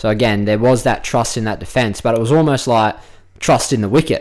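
In an Australian accent, a male speaker's voice sits at a fairly low pitch. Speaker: cricket player and pundit. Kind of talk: casual chat.

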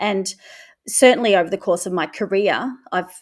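The recording is very clean, with a silent background. A woman speaks at a medium pitch. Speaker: English teacher. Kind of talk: panel discussion.

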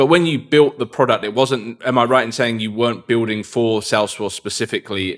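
A man's fairly low voice, a plain, everyday voice, at a fairly quick pace with ordinary pitch variation. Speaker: podcast host. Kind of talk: interview.

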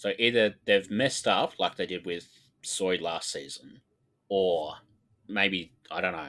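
A man with a very deep, low voice and an Australian accent, bright and sharp in tone, with ordinary pitch variation at a fairly slow pace. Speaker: podcast co-host. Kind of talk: casual chat.

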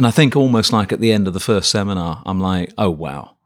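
A man speaks at a fairly low pitch with a British accent. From Birmingham, England. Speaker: professor. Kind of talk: interview.

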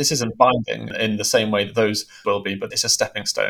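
This man talks rather fast. He speaks with a British accent. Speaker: news editor. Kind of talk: news discussion.

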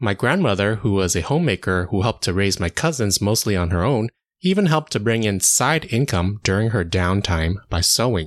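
With an American accent, this man has an unremarkable speaking voice at a fairly low pitch, lively intonation and hardly any pauses, recorded with a dry, close sound with no echo against a quiet background. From United States, Chinese American family. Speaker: occupational therapist podcast host. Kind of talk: scripted monologue.

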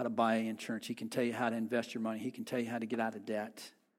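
A man talks at a medium pitch. He speaks very fast. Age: 50s. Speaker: pastor. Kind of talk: sermon. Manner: halting, frequent word repetitions.

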